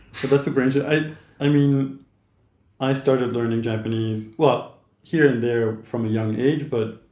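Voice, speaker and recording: A man speaks at a moderate pace and a medium pitch, with a dark, mellow tone and fairly even intonation. Long, frequent pauses break his speech, and audible room echo is present. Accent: Dutch. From Netherlands. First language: Dutch. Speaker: YouTuber, interviewer. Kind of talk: casual chat. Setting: in person, in the Netherlands.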